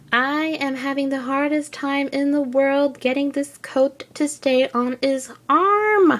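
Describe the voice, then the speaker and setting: Speaking with a French Canadian accent, a woman has a high-pitched voice. Her pace is very slow. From French Canada. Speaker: figure collector. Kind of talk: casual review talk to camera.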